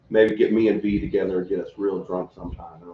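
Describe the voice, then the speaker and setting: With a Texas accent, a man speaks at a moderate pace. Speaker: local pro wrestler. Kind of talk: casual chat. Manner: soft-spoken. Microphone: no microphones, camera picks up audio.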